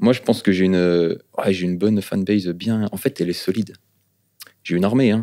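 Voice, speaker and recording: Speaking very fast yet with long, frequent pauses, a man with a slight eastern French accent has a fairly low pitch and a dark, mellow tone. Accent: slight non-Parisian, eastern French. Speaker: rapper. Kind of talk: podcast interview. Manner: animated, hesitant fillers.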